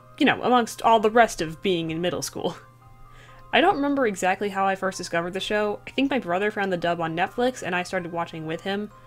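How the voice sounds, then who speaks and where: Her voice sits at a medium pitch and moves with lively intonation. The woman talks at a very fast pace with music in the background. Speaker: digital artist. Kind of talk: storytime voiceover over speedpaint. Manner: casual, rambling.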